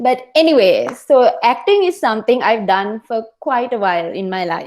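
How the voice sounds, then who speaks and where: Loud and high-pitched, a woman speaks at a moderate pace with very wide pitch swings. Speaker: toastmasters club member giving icebreaker speech. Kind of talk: prepared speech. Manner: animated.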